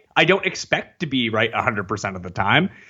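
Using vocal fry, a man speaks at a fairly quick pace with very wide pitch swings. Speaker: fantasy football analyst. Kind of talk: casual interview chat.

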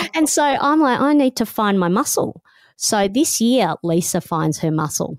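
With an Australian accent, a woman speaks at a moderate pace and fairly high pitch, her pitch swinging very widely at very even loudness. The recording is very clean and dry, close with no echo, over a silent background. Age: 50s. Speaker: radio host and author. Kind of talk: interview conversation. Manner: animated, laughs often.

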